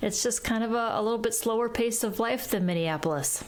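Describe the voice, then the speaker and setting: An Upper Midwest accent with ordinary pitch variation, plus noticeable background noise and audible room echo. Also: woman. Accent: northern US (Upper Midwest). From Wisconsin, US Midwest (partly raised in Kenya). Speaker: wealth advisor and author. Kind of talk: podcast interview.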